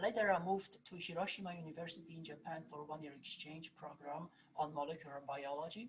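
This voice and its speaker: The speaker has a slight Polish accent and talks at a moderate pace. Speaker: plant scientist, research professor. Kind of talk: presentation. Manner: halting, many fillers.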